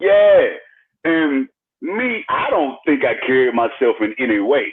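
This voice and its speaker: A fairly slow pace in a Mississippi accent. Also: man. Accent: Southern US, Mississippi. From Jackson, Mississippi. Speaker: hip-hop artist. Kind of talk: interview answer.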